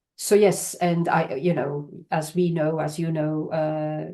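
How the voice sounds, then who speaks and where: With a Belgian accent, a woman talks in a fairly low pitch and a dark, mellow tone, her intonation monotone and flat, over a quiet background. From Belgium. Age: 60s. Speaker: charity worker. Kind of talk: podcast interview. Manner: halting.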